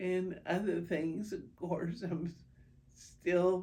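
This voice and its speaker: Somewhat breathy and medium in pitch, a woman speaks very slowly amid audible room echo. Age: 70s. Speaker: patient with multiple sclerosis. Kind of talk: interview testimony. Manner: hesitant, many fillers.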